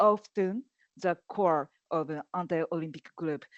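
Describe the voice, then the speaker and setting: With a Japanese accent, a woman speaks at a very slow pace and a medium pitch. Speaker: activist. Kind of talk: panel discussion. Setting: online event. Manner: halting, many fillers.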